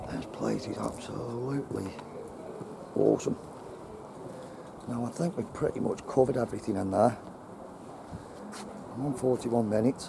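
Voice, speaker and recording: Against noticeable background noise, a man talks with long, frequent pauses. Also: medium pitch for a man, ordinary pitch variation, moderate pace. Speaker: urban explorer vlogger. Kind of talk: walkaround vlog narration. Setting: outdoors at historic site with visitors around. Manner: quiet.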